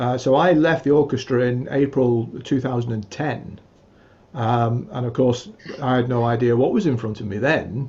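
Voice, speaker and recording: Speaking at a moderate pace, a man with a medium pitch has a dark, mellow tone that is somewhat breathy. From England. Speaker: musician and music teacher. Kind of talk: interview conversation. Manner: hesitant, many fillers.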